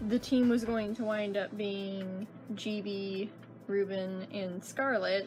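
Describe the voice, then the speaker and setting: With fairly even intonation, a woman talks in a somewhat breathy voice. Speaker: comic artist. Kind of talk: casual talk to camera.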